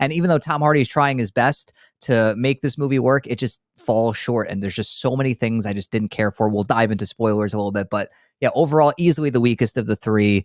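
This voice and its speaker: A man's medium-pitched voice with a New York accent at a very fast pace, dry and close with no echo, on a very clean recording with a silent background. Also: ordinary pitch variation. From New York, Long Island. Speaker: movie podcast host. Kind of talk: casual chat.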